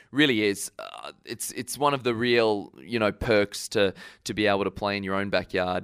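In an Australian accent, a man with fairly low pitch and ordinary pitch variation speaks at a moderate pace, with dry, close sound, no echo, and a very clean recording with a silent background. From Brisbane, Queensland, Australia. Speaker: professional tennis player. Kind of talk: interview.

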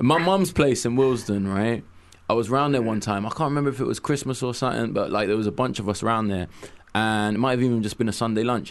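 With a London accent, a man talks at a very fast pace in a medium pitch with ordinary pitch variation. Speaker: radio co-host. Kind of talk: casual radio chat. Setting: studio.

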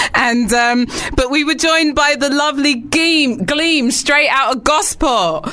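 With noticeable background noise behind her, a woman talks in a raised, projected voice at a high pitch. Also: ordinary pitch variation, fairly slow pace, very even loudness. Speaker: radio host. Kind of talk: radio show banter. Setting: studio.

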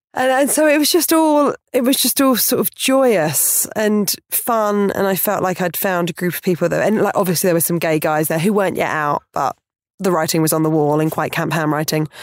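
A woman with a southern English accent speaks at medium pitch and a moderate pace, with hardly any pauses and very wide pitch swings. The recording is very clean, with a silent background. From Portsmouth, southern England. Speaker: comedian and podcaster. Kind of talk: casual interview chat.

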